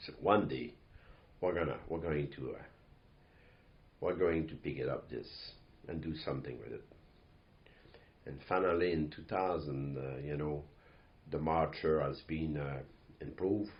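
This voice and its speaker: A man with a strong Quebec accent speaks at a moderate pace, with long, frequent pauses and audible room echo. His very deep, low voice keeps a fairly even intonation. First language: French. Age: 60s. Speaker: company owner and CEO. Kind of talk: podcast monologue. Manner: halting, many fillers.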